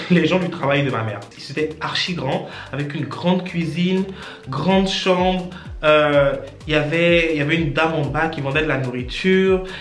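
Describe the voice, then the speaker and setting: Over music in the background and with audible room echo, a man speaks at a fairly high pitch and a moderate pace with ordinary pitch variation. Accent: Ivorian. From Côte d'Ivoire, then Gabon from age 8. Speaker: vlogger. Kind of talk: personal storytelling. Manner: casual, hesitant.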